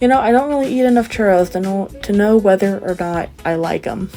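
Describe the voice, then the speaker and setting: Over background music, a woman with a medium pitch speaks at a fairly quick pace. Her tone is animated, and her pitch varies in an ordinary way. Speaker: book vlogger. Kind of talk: travel vlog narration. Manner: sometimes suddenly loud.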